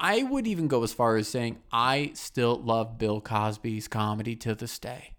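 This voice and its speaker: Speaking in a normal speaking voice with an American accent, a man at a medium pitch keeps a moderate pace, fairly even intonation, and hardly any pauses, on a very clean recording with a silent background. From US Midwest. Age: 20s. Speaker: podcast host. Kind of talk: casual chat.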